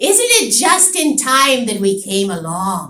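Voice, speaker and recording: A put-on character voice from a woman, high-pitched with very wide pitch swings, at a fairly slow pace. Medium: read story. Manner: sly, mocking, knowing.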